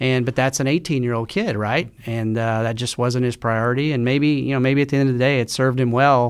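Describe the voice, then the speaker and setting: An unremarkable speaking voice with an American accent, fairly quick and with hardly any pauses, fairly even in intonation, in a very clean recording with a silent background. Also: man, medium pitch for a man. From Oklahoma, Tulsa. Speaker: sports team executive. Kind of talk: interview. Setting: studio.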